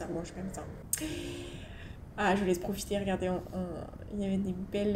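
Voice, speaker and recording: Against noticeable background noise, a woman speaks at medium pitch with monotone, flat intonation. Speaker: motorcycle vlogger. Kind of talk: casual voice-over narration for a motovlog. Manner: chatty, hesitant.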